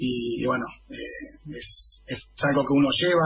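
A man speaks over noticeable background noise. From Argentina, northern Greater Buenos Aires. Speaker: football supporters' club representative. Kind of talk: radio interview. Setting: video call.

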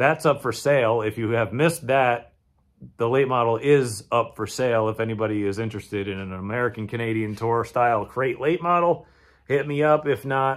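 Speaking at a moderate pace, a man uses ordinary pitch variation against a quiet background. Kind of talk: casual vlog chat. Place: garage. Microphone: phone near.

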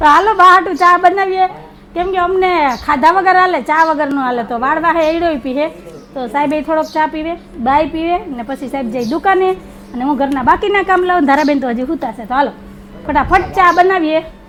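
A loud woman's voice at an extremely high pitch, ordinary pitch variation, and noticeable background noise. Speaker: family vlogger. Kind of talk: casual vlog narration.

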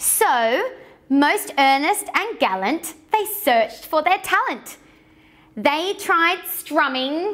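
Delivered at a slow pace, the voice has lively intonation and a fairly bright tone. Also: woman, high pitch for a woman.

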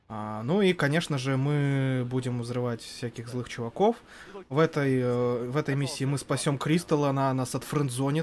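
Against light background noise, a man speaks at a moderate pace with fairly even intonation. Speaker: gaming commentator. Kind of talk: live commentary. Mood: relaxed, joking. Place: studio. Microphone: headset.

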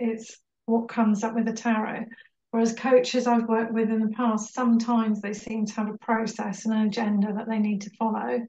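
A woman speaks at a fairly quick pace in a monotone, flat intonation. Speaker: coaching client giving review. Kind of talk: interview answer. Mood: warm, reflective. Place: home room. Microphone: video call.

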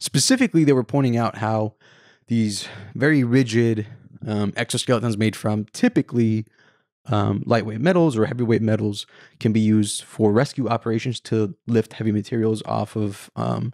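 This man talks at a moderate pace with fairly even intonation. The sound is dry with no echo, and the background is quiet. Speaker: podcast host. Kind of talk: podcast sponsor read and chat. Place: home room. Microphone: handheld.

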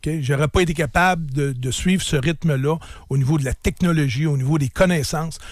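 A man's fairly high, somewhat breathy voice with fairly even intonation and a fairly quick pace. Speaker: businessman and sports team owner. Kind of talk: radio interview. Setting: radio studio.

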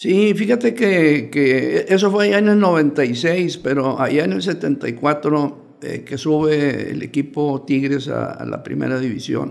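The speech moves at a very slow pace with hardly any pauses. Its intonation is lively. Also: man, fairly high pitch for a man. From Mexico. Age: 80s+. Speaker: former football club president; guest. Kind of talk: interview. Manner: halting. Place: studio. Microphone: studio mic.

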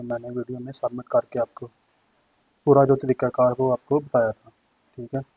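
Speaking at a moderate pace in flat, monotone intonation, a man with a medium-pitched voice and a slightly husky edge sounds dry and close, with no echo.

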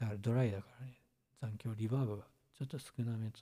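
The speaker is a man with a medium pitch. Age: 30s. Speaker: musician. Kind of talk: casual chat. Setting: live stream. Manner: relaxed.

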